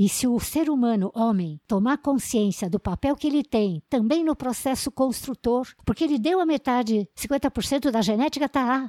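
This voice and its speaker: A woman's high voice has a dark, mellow tone and ordinary pitch variation, heard as a dry, close sound with no echo. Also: very clean recording, silent background. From São Paulo state, Brazil (raised in São Roque). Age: 80s. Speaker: agronomist. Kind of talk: life story interview.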